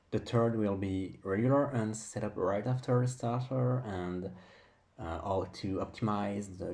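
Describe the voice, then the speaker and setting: Speaking at a fairly slow pace in a non-native accent, this man has a fairly low pitch, ordinary pitch variation, and a dark, mellow tone. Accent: noticeable non-native English. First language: not English. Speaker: gaming video creator. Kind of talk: tutorial. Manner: hesitant, with filler words.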